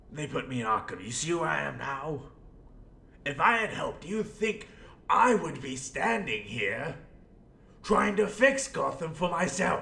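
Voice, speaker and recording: Using a put-on character voice, a man talks at a fairly high pitch with long, frequent pauses. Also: moderate pace. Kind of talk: audio role play monologue. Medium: role play. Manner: rambling, theatrical.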